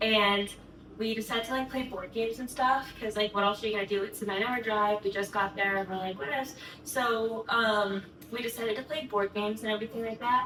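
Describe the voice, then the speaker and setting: With an American accent, a woman talks at a fairly quick pace in a fairly high pitch. Noticeable background noise sits behind her. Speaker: vlogger. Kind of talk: casual storytime. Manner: fast; animated.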